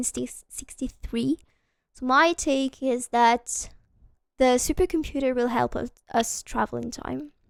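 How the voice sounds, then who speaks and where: A woman with a non-native accent speaks fairly slowly in a high voice with ordinary pitch variation, and the sound is dry and close with no echo. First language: not English. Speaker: video game streamer. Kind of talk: live gameplay stream chat. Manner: casual with many filler hesitations.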